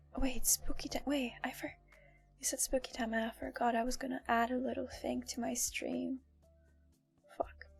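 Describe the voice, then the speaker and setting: Music plays in the background as a woman talks at a moderate pace, pausing long and often. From Poland. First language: Polish. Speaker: VTuber streamer. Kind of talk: casual live stream chat. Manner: casual, chatty.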